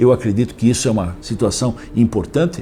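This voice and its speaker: A man's voice amid noticeable background noise. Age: 70s. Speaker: mayoral candidate. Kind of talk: interview. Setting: interview.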